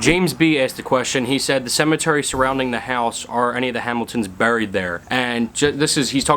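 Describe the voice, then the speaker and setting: Very fast, mumbled speech with an American accent. The pitch varies in an ordinary way. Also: man. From Pennsylvania. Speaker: YouTuber, urban explorer. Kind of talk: Q&A vlog, casual. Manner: mumbling.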